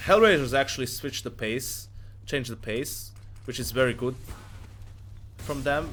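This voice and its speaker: At a moderate speed a man talks, with music in the background. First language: not English. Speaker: esports analyst streamer. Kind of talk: live stream match analysis with Q&A. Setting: live stream. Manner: casual, halting with self-corrections.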